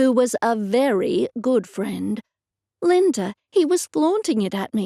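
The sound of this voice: Quiet background behind an unforced reading voice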